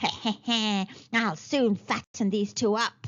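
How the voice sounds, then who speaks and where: A female-sounding voice performs a put-on character at a fairly high pitch, moving at a fairly slow pace. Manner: cackling, gleeful, sinister.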